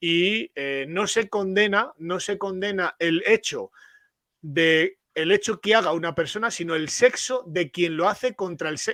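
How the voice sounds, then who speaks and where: A man speaks in a high pitch with a bright, sharp tone. His pitch variation is ordinary, and the sound is dry and close with no echo. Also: fairly slow pace. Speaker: father's rights activist. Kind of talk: panel discussion. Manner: halting.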